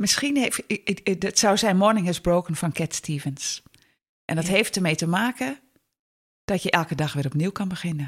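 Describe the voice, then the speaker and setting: Somewhat breathy and fairly low-pitched, a woman talks at a moderate pace with lively intonation and long, frequent pauses. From northern Netherlands. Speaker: lecturer and stepfamily counsellor. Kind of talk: interview.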